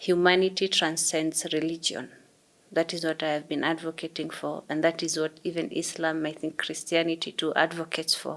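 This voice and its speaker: The delivery is monotone and flat, at a moderate pace. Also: woman. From Kenya, Somali community. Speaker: digital activist. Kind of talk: interview conversation.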